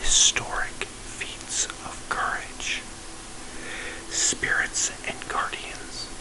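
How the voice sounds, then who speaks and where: Noticeable background noise sits under the recording. A man whispers very slowly. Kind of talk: ASMR book reading. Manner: whispered, soft-spoken.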